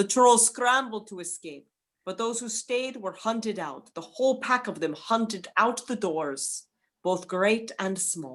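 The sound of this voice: Using lively intonation and a fairly bright tone, a woman at a medium pitch speaks at a slow pace.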